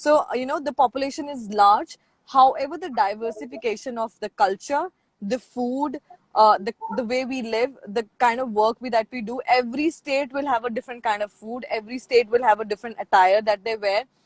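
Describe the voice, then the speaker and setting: The speaker has a Punjabi accent and a fairly quick pace. The sound is dry and close, with no echo. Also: woman, high pitch for a woman, ordinary pitch variation. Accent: Indian English, Punjabi. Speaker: international student representative. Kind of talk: casual interview. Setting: video call, moving around.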